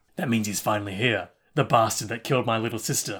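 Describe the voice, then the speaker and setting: Putting on a cartoonish character voice, a man rattles along at a very fast pace with a medium pitch. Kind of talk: exaggerated anime delivery. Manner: intense, dramatic, vengeful.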